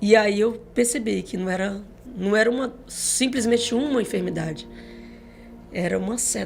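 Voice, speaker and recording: A woman with a fairly high pitch speaks at a moderate pace with ordinary pitch variation and long, frequent pauses. Music plays in the background, and there is audible room echo. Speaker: gospel singer. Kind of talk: testimony.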